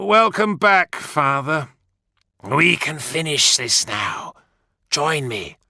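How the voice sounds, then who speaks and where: Using a raspy, put-on character voice, a man speaks at a very slow pace with a fairly high pitch. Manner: emotionless with faint oily amusement.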